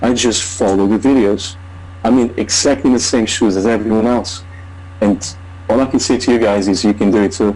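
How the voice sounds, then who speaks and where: With long, frequent pauses, a man speaks at a moderate pace and fairly low pitch, keeping his loudness very even and his intonation fairly even over noticeable background noise. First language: not English. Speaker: online marketer. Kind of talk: testimony. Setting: video call.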